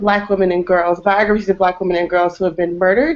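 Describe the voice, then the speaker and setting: A woman with an American accent speaks at a medium pitch. She has an ordinary speaking voice, and her intonation is fairly even. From Texas. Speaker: activist and project founder. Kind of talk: group discussion introduction. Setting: video call.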